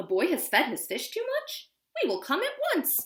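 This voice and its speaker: A woman's squeaky, put-on character voice, extremely high in pitch, at a moderate pace. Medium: read story. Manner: loud, commanding.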